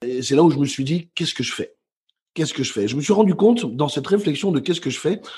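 Over a quiet background, a man's somewhat breathy voice sits at a fairly high pitch with ordinary pitch variation. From Belgium, Brussels. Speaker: motivational speaker and author. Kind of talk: interview.

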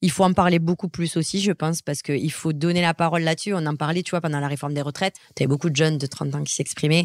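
A woman with a very deep, low pitch talks at a very fast pace with fairly even intonation, in a dry, close sound with no echo. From southwest France. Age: 30s. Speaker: entrepreneur. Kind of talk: interview. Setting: at a home near Marseille.

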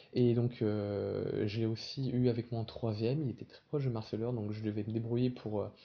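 A somewhat breathy man at a medium pitch and moderate pace, with fairly even intonation. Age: 20s. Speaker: local politician and anti-bullying activist. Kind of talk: interview. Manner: halting.

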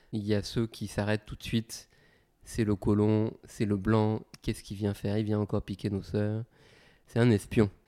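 Over a very clean recording with a silent background, a man with a fairly low pitch and a dark, mellow tone speaks in a flat monotone at a moderate pace, leaving long, frequent pauses. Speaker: hip-hop artist and consultant. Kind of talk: interview.

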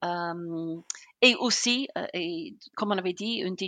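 In a British accent, a woman speaks at a medium pitch with a bright, sharp tone, the sound dry and close with no echo over a quiet background. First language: English (speaking French). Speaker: customer success consultant. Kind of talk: interview. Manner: enthusiastic.

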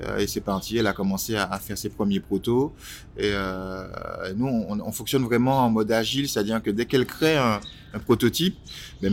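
In a normal speaking voice, a man talks at a fairly quick pace, fairly low in pitch with ordinary variation. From Martinique. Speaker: entrepreneur and designer. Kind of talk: interview. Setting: outdoors by a canal near the kiosk.

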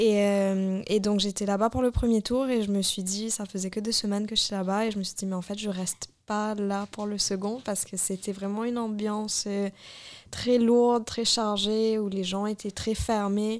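On a very clean recording with a silent background, a woman speaks at medium pitch and a moderate pace in a flat monotone. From Mauritius. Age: 20s. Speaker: traveller. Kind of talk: casual chat. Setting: studio.

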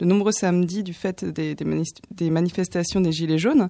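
This woman's voice has a dark, mellow tone. Her pitch sits fairly low. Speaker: radio columnist. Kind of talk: film review.

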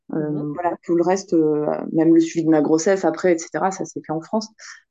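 Against a quiet background, a woman with a very deep, low pitch and a dark, mellow tone speaks at a moderate pace with ordinary pitch variation. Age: 40s. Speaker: single mother by choice. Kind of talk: testimony. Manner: halting.

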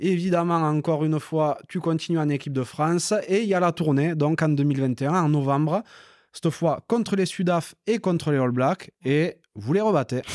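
A man has an unremarkable speaking voice, fairly high, with ordinary pitch variation and very even loudness. He speaks at a moderate pace on a very clean recording with a silent background. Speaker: podcast host. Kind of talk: casual interview chat.

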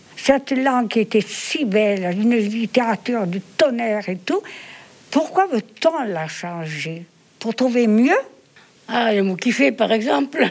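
Over noticeable background noise, a woman speaks very slowly at a fairly high pitch, her voice making very wide pitch swings. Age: 90s. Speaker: retirement home resident. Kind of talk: interview. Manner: halting.

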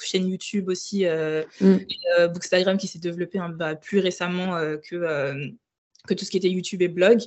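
A woman speaks at a fairly quick pace in a medium pitch, her intonation monotone and flat. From Burkina Faso, Ouagadougou. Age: 20s. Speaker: book influencer. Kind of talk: casual interview.

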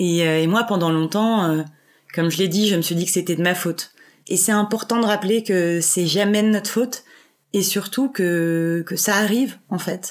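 Here a woman talks at a medium pitch and a moderate pace. Her pitch varies in an ordinary way, and her loudness stays very even. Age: 20s. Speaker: podcast guest sharing personal story. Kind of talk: personal testimony interview. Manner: casual with many hesitations.

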